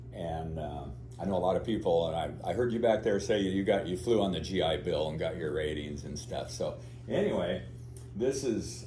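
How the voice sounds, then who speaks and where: A man with an American accent speaks at a moderate pace, his very deep, low pitch paired with a dark, mellow tone. Vocal fry comes through, and there is audible room echo. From US Pacific Northwest, Oregon. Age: 70s. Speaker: pilot and aerobatics instructor. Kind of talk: talk to club audience. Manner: casual, halting with fillers.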